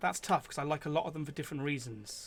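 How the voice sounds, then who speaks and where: A man talks at a very fast pace with an English accent. His pitch varies in an ordinary way. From England. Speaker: gaming streamer and musician. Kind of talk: casual live-stream chat.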